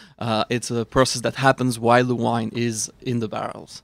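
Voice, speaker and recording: A moderate pace in a Swiss accent, with dry, close sound, no echo, and a very clean recording with a silent background. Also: man. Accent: noticeable foreign accent (Swiss). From Switzerland. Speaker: wine expert. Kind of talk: casual chat with tasting notes.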